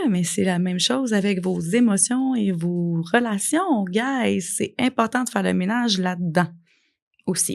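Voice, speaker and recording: A woman with a Quebec accent, medium in pitch, speaking at a fairly slow pace against a quiet background. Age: 40s. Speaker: life coach and podcast host. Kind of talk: podcast monologue. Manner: animated.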